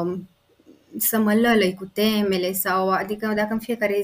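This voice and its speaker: A woman speaks in a plain, everyday voice. Her pitch is medium and her intonation fairly even. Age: 20s. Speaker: pediatrician. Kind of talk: interview.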